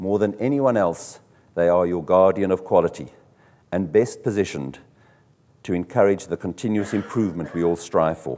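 A man with a very deep, low pitch and a dark, mellow tone speaks at a moderate pace. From South Africa. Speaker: car dealership executive; conference presenter. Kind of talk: conference talk. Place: hall.

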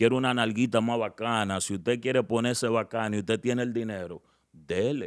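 Fairly quick speech from a man in a quiet background. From Dominican Republic, Santo Domingo; Dominican Republic. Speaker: social media personality, relationship commentator; relationship commentator. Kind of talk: casual interview. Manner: animated. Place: studio. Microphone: studio mic.

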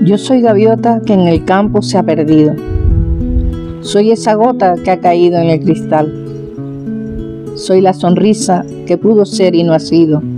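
Clear music sits in the background. A woman with a fairly low pitch speaks with very wide pitch swings. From Tenerife, Canary Islands. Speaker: farmer and folk poet. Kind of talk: poetry reading. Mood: wistful, tender. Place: street.

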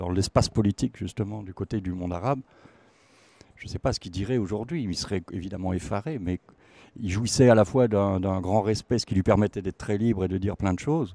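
A man with a dark, mellow tone talks fairly quickly, his loudness swinging widely, in a dry recording with no echo. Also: fairly low pitch for a man, ordinary pitch variation. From France, Alsace (Sainte-Marie-aux-Mines); Alsace, France. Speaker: musician and singer; guest. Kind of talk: interview. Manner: halting, many repetitions and fillers. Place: hall. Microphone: handheld.

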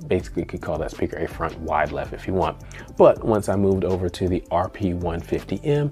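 Faint music plays behind a man speaking. His voice is very deep and low, at a moderate pace. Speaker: home theater reviewer. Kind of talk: review commentary. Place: home room.

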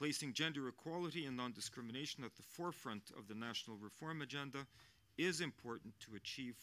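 Here a man talks at a fairly quick pace with lively intonation. His tone is bright and sharp. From Norway. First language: Norwegian. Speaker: diplomat, ambassador; international envoy at panel. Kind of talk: panel speech; audience Q&A answers. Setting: panel with live audience. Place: hall. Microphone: podium.

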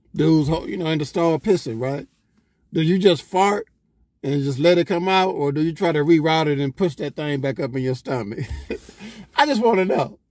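A man speaks at a fairly quick pace with ordinary pitch variation, his voice dry with no echo against a quiet background. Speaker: vlogger. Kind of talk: casual vlog chat. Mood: joking, storytelling. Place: car. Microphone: phone near.

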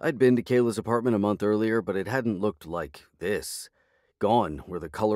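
With fairly even intonation, an unforced reading voice carries through the clip.

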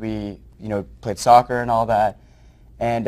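A man with an American accent speaks at a very fast pace. His voice is fairly low and his intonation is monotone and flat. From New Jersey. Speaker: nonprofit founder. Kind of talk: interview. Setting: studio. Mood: warm, enthusiastic. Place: studio. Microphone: lapel.

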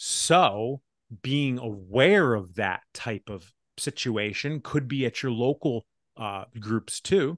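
Against a quiet background and in a dry sound with no echo, a man speaks at a very slow pace with lively intonation. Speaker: podcast host. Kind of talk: casual podcast conversation. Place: home room. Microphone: studio mic.

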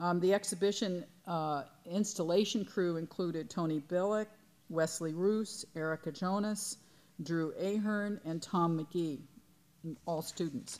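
At a fairly slow pace, a woman talks in a fairly low pitch with fairly even intonation. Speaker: museum director. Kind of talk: welcome speech at a symposium. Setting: lecture hall with audience. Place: hall. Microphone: podium.

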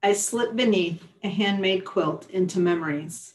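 A woman speaks at a very slow pace. Her voice is somewhat breathy, with ordinary pitch variation. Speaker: publisher and poet. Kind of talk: poetry reading, performing her own poems aloud. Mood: calm, warm, reflective. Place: home room. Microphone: webcam.

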